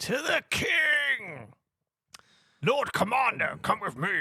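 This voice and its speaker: A put-on character voice speaks at a very slow pace with a high pitch. The sound is raspy. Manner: commanding, urgent.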